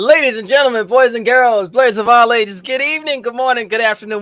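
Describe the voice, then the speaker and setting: Music sits in the background. Over it, a man speaks at a fairly quick pace. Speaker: livestream host. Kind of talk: casual livestream chat. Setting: livestream. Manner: animated; loud.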